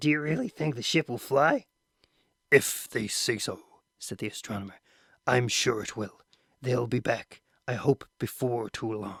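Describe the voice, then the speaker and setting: A man uses a raspy, put-on character voice at medium pitch with ordinary pitch variation and a moderate pace. Long, frequent pauses break up the speech, and the sound is dry and close with no echo. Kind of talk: audiobook reading. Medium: read story.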